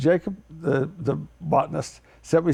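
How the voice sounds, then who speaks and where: The man's pitch sits fairly high, with a dark, mellow tone. Vocal fry runs through his speech. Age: 70s. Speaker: farmer. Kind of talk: TV interview.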